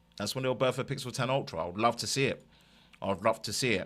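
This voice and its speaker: Speaking at a fairly quick pace, a man with an East London accent has a medium pitch and a bright, sharp tone. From East London, England. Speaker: tech YouTuber. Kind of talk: live stream chat.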